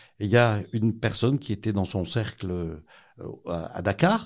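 A man uses an ordinary speaking voice at medium pitch with ordinary pitch variation, on a very clean recording with a silent background. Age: 60s. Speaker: protestant newspaper director. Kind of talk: interview, testimony.

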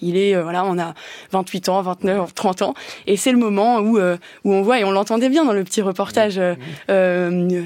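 A woman speaks at a moderate pace in a medium pitch, with long, frequent pauses. The recording is very clean and the background silent. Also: ordinary pitch variation. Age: 20s. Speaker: senator. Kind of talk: political debate. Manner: halting, many hesitations.

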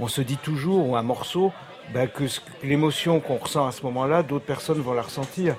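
Noticeable background noise accompanies a man whose fairly high voice shows ordinary pitch variation. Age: 50s. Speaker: record producer and label owner. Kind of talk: radio interview.

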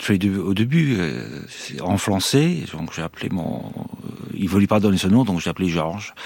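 Lively intonation from a man at a fairly slow pace, with long, frequent pauses and noticeable background noise. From Ireland. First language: English (speaking French). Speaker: former hostage. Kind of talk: interview testimony. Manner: halting.

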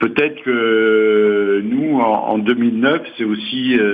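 The speaker is a man. His pitch sits fairly low. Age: 60s. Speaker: retiree, housing cooperative resident. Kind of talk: interview.

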